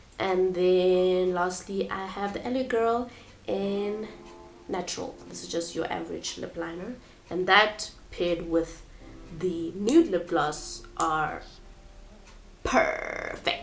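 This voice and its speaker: Over music in the background, a woman speaks at a very slow pace with long, frequent pauses and audible room echo. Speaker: beauty vlogger. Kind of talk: product walkthrough. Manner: hesitant, many fillers.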